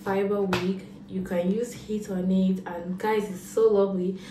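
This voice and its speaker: Audible room echo and light background noise frame the recording. A woman speaks at a fairly slow pace. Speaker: vlogger. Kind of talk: casual vlog chat. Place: home room. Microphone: phone near.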